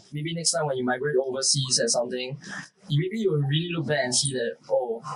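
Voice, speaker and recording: A man with a Singaporean accent speaks at a fairly quick pace in a fairly high voice with ordinary pitch variation. Noticeable background noise runs underneath. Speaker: podcast co-host. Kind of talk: casual chat. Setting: outdoors.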